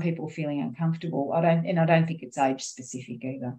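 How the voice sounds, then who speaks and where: A woman with an Australian accent, fairly low in pitch, with ordinary pitch variation, at a very fast pace. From Australia, child of migrants. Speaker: teacher, workshop participant. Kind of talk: group discussion.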